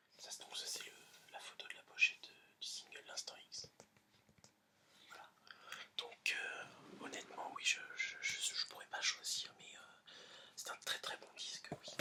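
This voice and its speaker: Whispering, a man speaks at a very slow pace. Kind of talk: whispered ASMR presentation of an album to camera. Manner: whispered, soft, hesitant with filler words.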